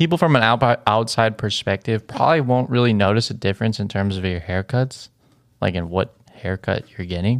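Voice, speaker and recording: Recorded very cleanly against a silent background, a man with a fairly low pitch talks at a fairly quick pace in an ordinary speaking voice, with ordinary pitch variation. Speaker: podcast co-host. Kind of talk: casual chat.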